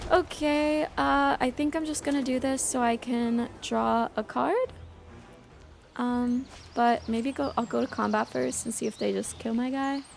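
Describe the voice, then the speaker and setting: A woman at a fairly slow pace, music in the background. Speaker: game streamer. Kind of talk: casual live-stream gameplay commentary. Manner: hesitant, many ums and repeats.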